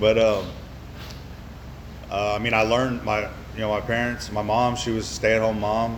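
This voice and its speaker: Amid noticeable background noise and audible room echo, a man with a Texan accent and fairly low pitch speaks in a monotone, flat intonation with long, frequent pauses. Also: moderate pace. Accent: Texan American. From Central Texas, Copperas Cove. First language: American Sign Language. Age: 30s. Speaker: recovering alcoholic speaker. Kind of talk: recovery meeting testimony. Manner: halting, many fillers.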